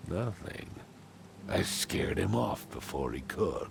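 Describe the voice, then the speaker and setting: Someone uses a put-on character voice at a fairly slow pace over clear background noise. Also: man, fairly low pitch for a man. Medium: machinima. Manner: blunt, informal.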